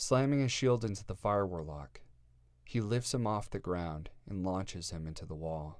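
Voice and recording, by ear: Lively intonation runs through the clip. It is reading aloud in a natural voice.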